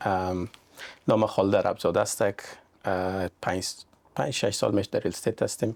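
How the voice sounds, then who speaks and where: A man speaks fairly quickly with long, frequent pauses and very even loudness, in a very clean recording with a silent background. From Iran, Afghan family from Mazar-i-Sharif. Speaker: real estate agent. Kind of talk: podcast interview.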